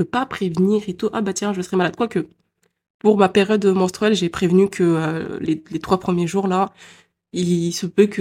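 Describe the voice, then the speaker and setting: At a moderate pace, a woman talks with medium pitch and fairly even intonation on a very clean recording with a silent background. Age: 20s. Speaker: podcaster. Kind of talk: personal monologue. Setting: home recording at computer. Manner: spontaneous, hesitant.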